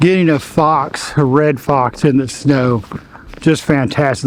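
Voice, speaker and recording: A man speaks in a fairly high voice over noticeable background noise. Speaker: wildlife photographer. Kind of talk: tutorial. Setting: outdoors. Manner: fast; animated.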